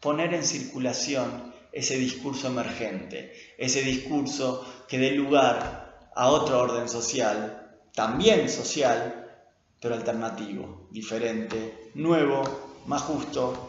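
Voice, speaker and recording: Amid noticeable background noise and audible room echo, a man of medium pitch talks at a very slow pace. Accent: Rioplatense. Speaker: linguistics lecturer and researcher. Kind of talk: lecture.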